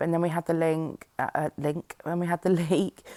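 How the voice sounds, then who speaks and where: Monotone and flat, the voice carries a British accent and a dark, mellow tone. It moves at a moderate pace, sounding dry and close with no echo. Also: woman. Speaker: scrapbooking YouTuber. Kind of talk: process video voiceover. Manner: hesitant, many fillers.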